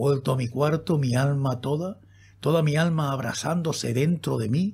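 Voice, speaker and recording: A man talks fairly slowly in a fairly high, somewhat breathy voice with lively intonation. His tone is intense and solemn. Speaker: audiobook narrator. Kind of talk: dramatic narration of a horror poem, read aloud in an intimate, spooky tone. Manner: slow, hushed, theatrical with suspenseful pauses; intense, solemn, ominous.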